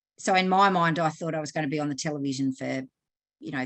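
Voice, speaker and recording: A woman with an Australian accent has a very deep, low pitch and ordinary pitch variation. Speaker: sexologist and counselor. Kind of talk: online lecture. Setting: video call from Australia. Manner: conversational, with hesitations.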